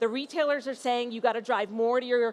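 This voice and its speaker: With a New York accent, a woman speaks at a high pitch with ordinary pitch variation. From US Northeast, New York. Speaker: company founder and CEO. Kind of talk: conference panel presentation.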